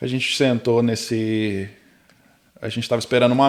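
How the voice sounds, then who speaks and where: A man speaks at a moderate pace. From Brazil. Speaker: tech worker immigrant. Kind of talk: casual chat. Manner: animated storytelling.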